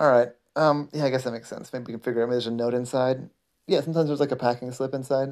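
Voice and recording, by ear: Someone reads aloud naturally, keeping the intonation fairly even. Behind the voice, the background stays quiet.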